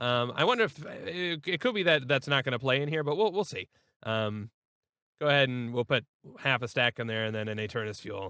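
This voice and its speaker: A man talks at a fairly quick pace with lively intonation, a medium pitch and a bright, sharp tone. The sound is dry and close with no echo on a very clean recording with a silent background. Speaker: gaming YouTuber. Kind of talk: gameplay commentary. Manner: hesitant, many fillers.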